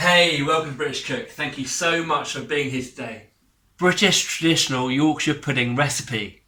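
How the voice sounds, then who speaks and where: With an English accent, a man talks at a moderate pace in a fairly high pitch, his bright, sharp tone carrying ordinary pitch variation. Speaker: cooking channel host. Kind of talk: cooking tutorial. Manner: chatty, jokey.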